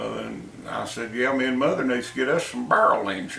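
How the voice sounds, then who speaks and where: There is noticeable background noise. A man speaks with an American accent. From American South. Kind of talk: casual, storytelling.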